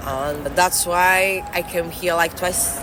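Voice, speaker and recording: A woman with a fairly low voice talks over noticeable background noise, and the room echo can be heard. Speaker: winemaker. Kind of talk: interview. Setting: in person, New York City. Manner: halting.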